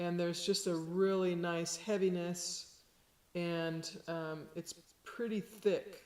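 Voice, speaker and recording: A woman's fairly low, monotone, flat voice at a very slow pace. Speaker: sound healer. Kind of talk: tutorial.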